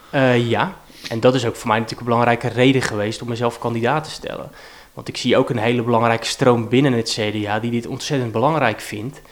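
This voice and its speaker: Over noticeable background noise, a man with a medium pitch speaks at a fairly quick pace in a monotone, flat intonation. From Rotterdam-Zuid, Netherlands. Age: 30s. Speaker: politician. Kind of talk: interview. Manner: halting.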